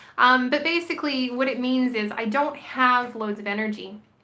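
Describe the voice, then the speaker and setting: The woman's tone is bright and sharp. Audible room echo surrounds her voice. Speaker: vlogger. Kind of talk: casual vlog monologue. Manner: hesitant, many fillers.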